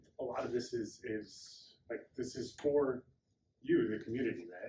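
Against light background noise, a man's voice carries audible room echo. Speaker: speaker. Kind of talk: conference introduction. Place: hall. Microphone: camera far.

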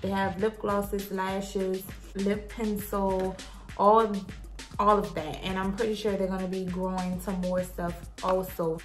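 A woman speaks at a fairly slow pace with flat, monotone intonation. Faint music plays in the background. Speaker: beauty vlogger. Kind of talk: product review. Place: home room. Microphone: phone near.

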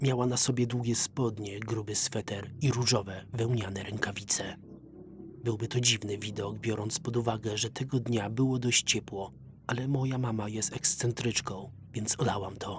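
In a plain, everyday voice, a man talks at a medium pitch and a moderate pace with fairly even intonation. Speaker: voice-over reader. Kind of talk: horror story narration.

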